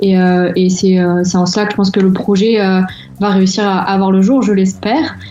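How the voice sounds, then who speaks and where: A woman's medium-pitched voice at a moderate pace, with very even loudness and fairly even intonation, amid noticeable background noise and audible room echo. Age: 20s. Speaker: association volunteer. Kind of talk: interview. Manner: halting.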